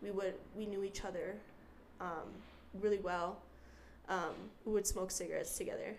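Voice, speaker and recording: With an American accent, a woman speaks at a moderate pace, leaving long, frequent pauses. The room echo is audible. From Utah. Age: 20s. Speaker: young mother sharing her story. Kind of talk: casual interview.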